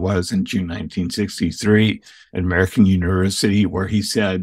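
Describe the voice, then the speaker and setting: A man's very deep, low voice at a fairly quick pace, with fairly even intonation, on a very clean recording with a silent background. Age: 70s. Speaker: historian and author. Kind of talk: interview conversation.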